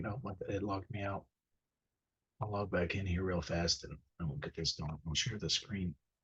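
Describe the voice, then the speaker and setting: This man has a fairly low-pitched, somewhat breathy voice. He talks at a moderate pace. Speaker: teacher. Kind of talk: tutorial. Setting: screen-share video. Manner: casual, halting with fillers.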